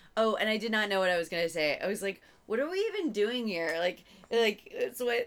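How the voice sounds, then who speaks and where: Amid noticeable background noise, a woman with an American accent speaks at a moderate pace with lively intonation. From Virginia, US. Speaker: comedian. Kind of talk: casual chat. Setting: at home in the host's room. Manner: giggly, laughs constantly.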